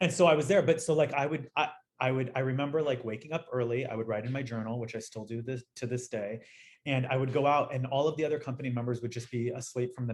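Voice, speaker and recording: A man talks at a very fast pace with an American accent. His somewhat breathy voice sits at medium pitch with ordinary pitch variation. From Los Angeles, US. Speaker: dancer and dance educator. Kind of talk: interview conversation. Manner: animated.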